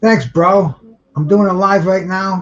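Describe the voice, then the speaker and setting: In a Rhode Island accent, a man talks at a moderate pace. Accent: New England, Rhode Island. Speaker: boxing livestream host. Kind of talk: casual live fight commentary. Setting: livestream. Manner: halting. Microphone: too far from the camera.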